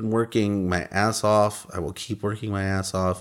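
On a very clean recording with a silent background, a man speaks at a moderate pace in a plain, everyday voice pitched fairly low. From Austin, Texas. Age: 30s. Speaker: independent filmmaker. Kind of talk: casual interview.

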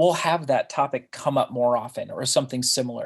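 A man with an unremarkable speaking voice talks at a fairly quick pace. His pitch is fairly high. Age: 30s. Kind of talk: interview. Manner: casual, frequent laughter.

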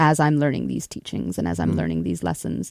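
A woman with a Canadian prairie accent is heard in a very clean recording with a silent background and a dry, close sound with no echo. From Canada, Winnipeg (prairies). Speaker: musician, singer-songwriter. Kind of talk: radio interview.

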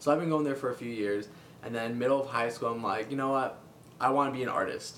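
Noticeable background noise and audible room echo surround a man who speaks very fast with fairly even intonation. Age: 20s. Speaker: freelance comic artist and colorist. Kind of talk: casual interview.

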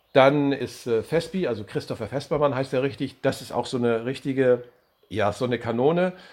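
A man with a normal speaking voice, medium pitch and ordinary pitch variation, at a fairly quick pace over a quiet background. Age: 50s. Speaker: volunteer fire brigade leader. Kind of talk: interview.

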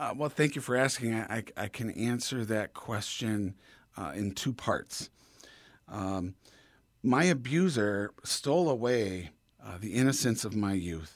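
On a very clean recording with a silent background, a man with an ordinary speaking voice talks at a fairly slow pace and medium pitch, with lively intonation. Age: 50s. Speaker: abuse survivor and advocate. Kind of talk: interview.

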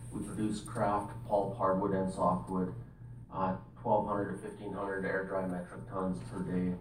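A man talks at a fairly slow pace in a very deep, low pitch. Noticeable background noise is present. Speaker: forestry planning supervisor. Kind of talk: presentation to council.

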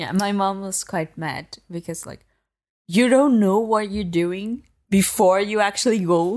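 Speaking at a fairly slow pace, a woman has an unremarkable speaking voice of medium pitch with ordinary pitch variation and big swings in loudness, on a very clean recording with a silent background. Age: 20s. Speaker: IT consultant and dog trainer. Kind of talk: casual chat. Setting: in person in an Airbnb.

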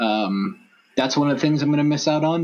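A man with an American accent speaks with ordinary pitch variation over noticeable background noise. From Los Angeles. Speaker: sports fan blogger. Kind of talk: casual chat.

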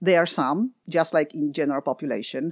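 In a Polish accent, a woman speaks at a moderate pace with a dry, close sound and no echo. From Poland. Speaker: environmental economist, nonprofit head. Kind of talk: interview.

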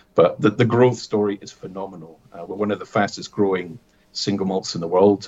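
The speaker is a man. He talks with a Scottish Highland accent. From Scottish Highlands (Aviemore). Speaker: distillery manager. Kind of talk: interview.

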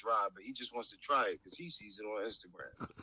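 At a fairly quick pace, a man speaks with fairly even intonation and a fairly low pitch. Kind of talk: casual discussion.

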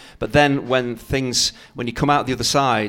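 In a plain, everyday voice, a man talks at a fairly quick pace and medium pitch. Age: 50s. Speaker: former footballer and co-commentator. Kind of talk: casual chat.

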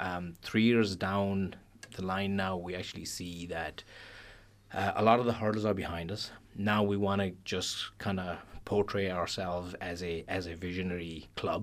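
In a Pakistani accent, a man with a very deep, low pitch speaks at a moderate pace in a monotone, flat intonation. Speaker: club treasurer. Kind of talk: casual radio interview. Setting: studio.

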